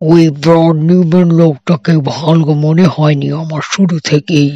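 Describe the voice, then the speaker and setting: Using a put-on character voice, a man speaks at a fairly slow pace with a fairly high pitch and monotone, flat intonation. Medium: read story. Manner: modest, earnest.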